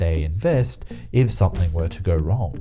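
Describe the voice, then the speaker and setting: A man's lively, moderately paced speech over background music. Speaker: YouTube narrator. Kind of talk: explainer video narration.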